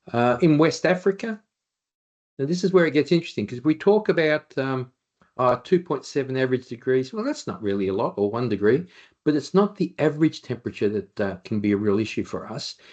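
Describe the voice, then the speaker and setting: A man with an Australian accent speaks at a fairly quick pace. His fairly high voice swings very widely in pitch. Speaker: occupational hygienist. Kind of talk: webinar presentation. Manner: fast when excited.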